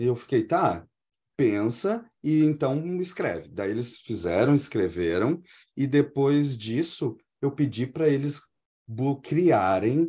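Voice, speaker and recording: A man with a medium pitch and a dark, mellow tone speaks at a very slow pace in a very clean recording against a silent background. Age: 40s. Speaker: English teacher. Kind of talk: interview.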